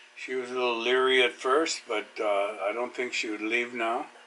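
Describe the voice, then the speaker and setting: A man talks with fairly even intonation at a medium pitch, with noticeable background noise behind him. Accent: American. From Los Angeles, California. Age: 70s. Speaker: retired construction worker, local resident. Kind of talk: casual interview.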